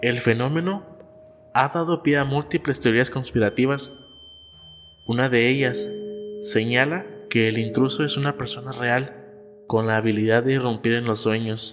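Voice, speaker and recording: Music plays in the background while a man speaks at a moderate pace and medium pitch, with lively intonation and long, frequent pauses. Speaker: podcast host. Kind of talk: scripted narration of horror story, read aloud.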